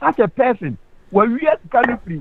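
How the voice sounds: A man talking at a fairly quick pace with big pitch swings.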